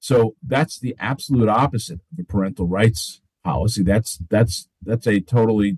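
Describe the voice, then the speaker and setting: At a moderate pace, a man with a fairly low pitch speaks somewhat breathily and with lively intonation, the sound dry and close with no echo. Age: 50s. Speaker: attorney. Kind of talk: interview. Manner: halting, many fillers.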